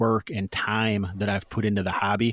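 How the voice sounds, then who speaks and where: On a very clean recording with a silent background and a dry, close sound free of echo, a man with an American accent speaks at a moderate pace in a fairly low, flat monotone. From US Midwest. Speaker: tabletop RPG podcaster and game master. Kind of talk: casual interview chat about games.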